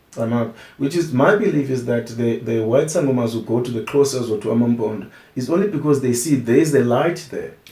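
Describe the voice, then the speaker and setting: A man talks at a fairly quick pace with a medium pitch and ordinary pitch variation. Noticeable background noise and audible room echo fill the recording. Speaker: traditional healer and musician. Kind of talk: interview. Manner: halting, with frequent restarts.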